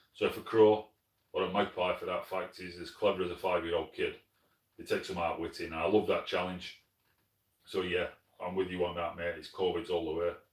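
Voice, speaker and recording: The speech is in a Yorkshire accent at a fairly quick pace. Loudness swings widely, broken by long, frequent pauses. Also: man. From northern England, Sheffield, South Yorkshire. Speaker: pest control shooter, channel host. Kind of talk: live stream chat reading comments. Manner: casual, conversational.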